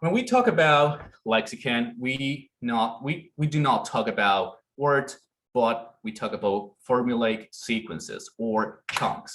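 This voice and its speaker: Very slow male speech at a medium pitch, its pitch varying in an ordinary way. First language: Spanish. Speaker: conference presenter. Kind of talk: academic presentation.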